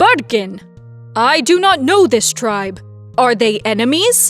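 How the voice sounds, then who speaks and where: A booming put-on character voice at a fairly slow pace, with faint music in the background. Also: woman, fairly high pitch for a woman. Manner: suspicious, stern.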